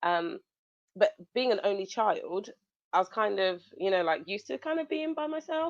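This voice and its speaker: Loud and with very wide pitch swings, a woman speaks at medium pitch in a dry, close sound with no echo. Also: quiet background. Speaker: interview guest. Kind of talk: casual chat.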